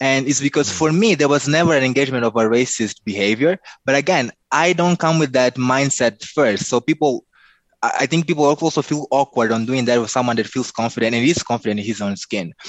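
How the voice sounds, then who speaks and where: Here a man talks at a fairly quick pace with a Mozambican accent. His voice is medium in pitch. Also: ordinary pitch variation. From Mozambique. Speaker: life coach and speaker. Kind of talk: interview.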